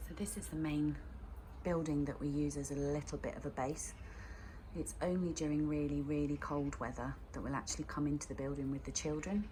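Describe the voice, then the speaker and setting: A woman talking at a fairly quick pace, with audible room echo. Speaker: nursery forest school leader. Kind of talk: guided tour and parent briefing. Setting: outdoors.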